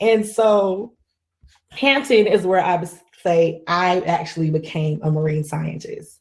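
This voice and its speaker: A woman with a Southern US accent, fairly low in pitch, at a fairly slow pace and with ordinary pitch variation. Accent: Southern US country. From US South, Greenwood, South Carolina. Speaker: marine scientist. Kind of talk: conference keynote talk. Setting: virtual conference. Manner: casual, conversational.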